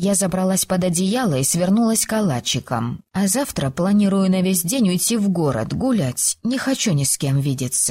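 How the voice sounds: In a natural reading voice, the intonation stays lively throughout.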